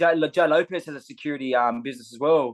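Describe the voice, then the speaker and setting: With an Australian accent, a man speaks at a fairly high pitch. His pace is fairly quick, with ordinary pitch variation. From Australia, Sydney southern suburbs. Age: 20s. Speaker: MMA fighter. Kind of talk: casual interview chat. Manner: halting, many fillers and repetitions.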